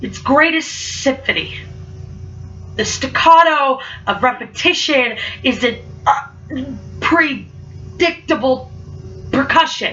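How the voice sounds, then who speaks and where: Over music in the background, a woman with a high voice speaks at a very slow pace, leaving long, frequent pauses. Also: ordinary pitch variation. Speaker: student speaker. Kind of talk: spoken word poetry. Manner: halting repetitions; rhythmic, dramatic.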